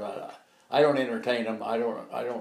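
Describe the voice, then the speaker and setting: A man with an unremarkable speaking voice talks in an American accent. He keeps a moderate pace. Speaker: WWII veteran. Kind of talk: elder life story, recalling war memories in an interview.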